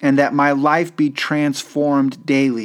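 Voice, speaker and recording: The recording is very clean, and the background is silent. Words come at a fairly slow pace. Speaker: devotional host. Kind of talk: guided devotional prayer. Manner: earnest, reverent, measured.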